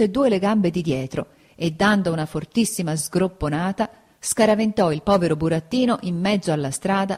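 The reading voice sounds unforced. There is ordinary variation in pitch.

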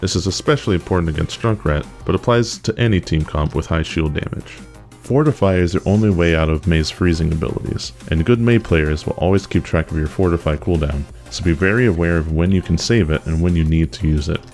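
Music plays in the background as a man speaks at a fairly quick pace. His very deep, low voice has ordinary pitch variation. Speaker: gamer. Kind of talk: game strategy tips narration.

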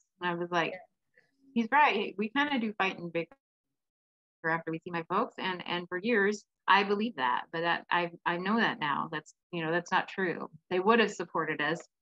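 Against a quiet background, a woman with a Pacific Northwest accent talks at a moderate pace and medium pitch with ordinary pitch variation. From Washington State, Kitsap County; Washington State. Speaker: domestic violence advocate and speaker. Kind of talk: interview. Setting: video call. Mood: earnest, reflective. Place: home room. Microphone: video call.

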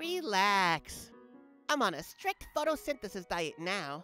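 A cartoonish character voice, raised and projected, swings very widely in pitch at a fairly slow pace while faint music plays in the background. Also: man, high pitch for a man. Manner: menacing, teasing.

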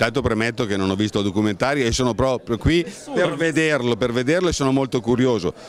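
The sound is dry with no echo, with light background noise. A man speaks very fast with lively intonation and very even loudness. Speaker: art catalogue editor. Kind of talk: public speech. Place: hall. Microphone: handheld.

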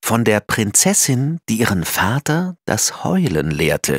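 In a dry, close sound with no echo, a man at medium pitch talks at a very slow pace, his vocal fry paired with very wide pitch swings. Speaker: audiobook narrator. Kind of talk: children's picture book reading.

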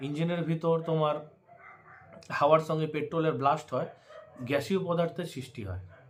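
With an ordinary speaking voice, a man talks at a fairly high pitch and ordinary pitch variation. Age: 30s. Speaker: bike vlogger. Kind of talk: tutorial. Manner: casual, repetitive.

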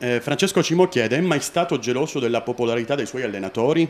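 A fairly quick pace with ordinary pitch variation. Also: man. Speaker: interviewer reading fans' questions. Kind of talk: interview. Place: office.

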